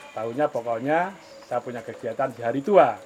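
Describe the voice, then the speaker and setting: A man talks over noticeable background noise. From Central Java, Muntilan (Magelang). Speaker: goat and sheep farmer. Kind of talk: interview. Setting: on a farm.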